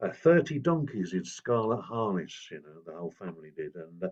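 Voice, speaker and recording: With an English accent, this man speaks at a moderate pace and swings his pitch very widely. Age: 70s. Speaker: folk singer and storyteller. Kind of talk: informal talk / storytelling workshop. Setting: outdoors in a garden. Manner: hesitant, many fillers.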